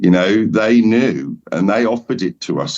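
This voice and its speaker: A man with an Essex accent. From England, Essex. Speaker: shaman. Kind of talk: casual chat. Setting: podcast roundtable.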